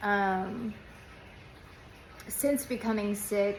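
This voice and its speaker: The room echo is audible. A woman speaks at medium pitch. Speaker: former nurse turned patient vlogger. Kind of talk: casual vlog monologue. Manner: halting, many fillers.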